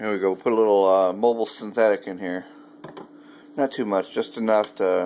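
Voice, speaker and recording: A man talks at a fairly low pitch and a fairly quick pace, with long, frequent pauses. Noticeable background noise runs underneath. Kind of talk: casual home cooking demo talk.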